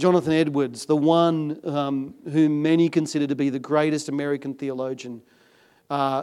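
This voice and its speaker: On a very clean recording with a silent background, a man with an unremarkable speaking voice and fairly high pitch speaks at a moderate pace with fairly even intonation. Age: 50s. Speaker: pastor. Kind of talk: sermon. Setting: church.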